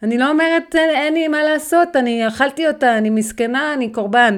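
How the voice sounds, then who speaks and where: A woman's high-pitched voice with lively intonation, at a fairly slow pace, on a very clean recording with a silent background. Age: 30s. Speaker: weight-loss and healthy lifestyle mentor. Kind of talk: motivational podcast monologue.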